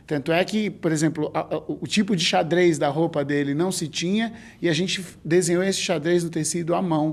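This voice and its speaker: Fairly even intonation marks this moderately paced speech. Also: man, high pitch for a man. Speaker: clown and stage actor. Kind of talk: documentary interview. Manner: halting, with many fillers.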